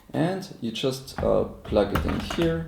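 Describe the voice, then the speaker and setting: A man's fairly low voice with a non-native accent, in audible room echo. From Austria. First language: German. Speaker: inventor presenting his product. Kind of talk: live product demonstration. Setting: live stream.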